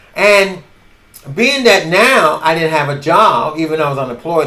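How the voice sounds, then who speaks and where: With audible room echo, a man's fairly high voice swings very widely in pitch. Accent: New York. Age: 70s. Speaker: podcaster. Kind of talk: casual storytelling monologue. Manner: halting.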